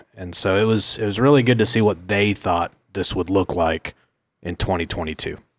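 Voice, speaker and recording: A man with an American accent has a normal speaking voice, fairly low in pitch with ordinary pitch variation, moving at a moderate pace on a very clean recording with a silent background. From Oklahoma City, US. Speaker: mortgage lender executive. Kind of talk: casual interview.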